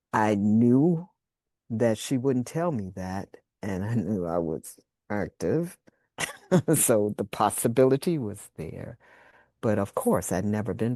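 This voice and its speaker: Speaking at a very slow pace with long, frequent pauses, a woman with an American accent and a very deep, low pitch uses a dark, mellow tone and lively intonation, her dry, close sound having no echo against a quiet background. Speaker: birth worker. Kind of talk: interview answer.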